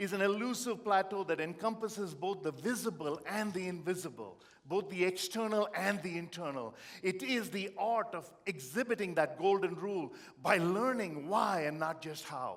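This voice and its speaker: A man with an Indian accent speaks in a high voice at a moderate pace. His tone is animated, with ordinary pitch variation. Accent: Indian accent, noticeable. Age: 50s. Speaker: motivational speaker. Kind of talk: motivational keynote speech.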